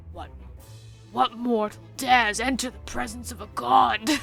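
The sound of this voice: The speaker uses a put-on character voice. Clear music plays in the background. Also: moderate pace.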